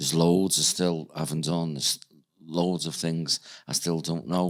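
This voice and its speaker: A man with a Liverpool accent talks at a moderate pace in a very deep, low pitch, his intonation monotone and flat. The recording is very clean, with a silent background. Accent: Scouse (Liverpool). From Liverpool, England. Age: 60s. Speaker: psychic medium. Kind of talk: podcast interview.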